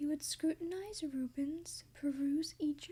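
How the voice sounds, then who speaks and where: A woman speaks very slowly at a high pitch, her gentle tone dark and mellow, her intonation fairly even. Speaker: ASMR creator. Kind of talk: rhythmic read-aloud of a rhyming children's book. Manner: soft-spoken, gentle.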